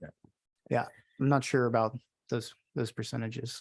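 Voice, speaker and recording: This man speaks very slowly at a medium pitch. His intonation stays fairly even. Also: dry, close sound with no echo. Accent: American. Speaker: witness testifying at a legislative hearing. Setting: legislative committee hearing room.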